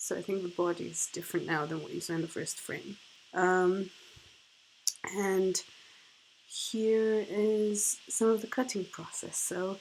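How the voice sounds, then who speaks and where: A woman's medium-pitched voice, fairly slow and fairly even in intonation, with long, frequent pauses. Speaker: artist and printmaker. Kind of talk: unscripted tutorial narration. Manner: halting, many fillers.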